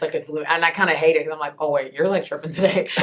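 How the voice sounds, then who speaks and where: A woman with a very deep, low pitch sounds animated over noticeable background noise. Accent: American. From Texas, Houston. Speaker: entertainment interviewer and TV host. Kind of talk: interview. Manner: loud.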